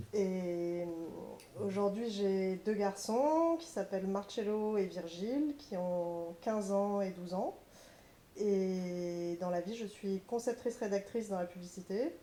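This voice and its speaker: At a very slow pace, a woman speaks at a medium pitch in a dark, mellow tone with ordinary pitch variation. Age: 40s. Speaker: advertising copywriter. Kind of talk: family reminiscence conversation.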